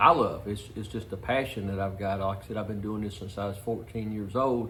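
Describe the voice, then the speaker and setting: Audible room echo surrounds a man whose fairly low voice has a bright, sharp tone. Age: 60s. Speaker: car restorer. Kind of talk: casual shop talk for video. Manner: halting, many fillers.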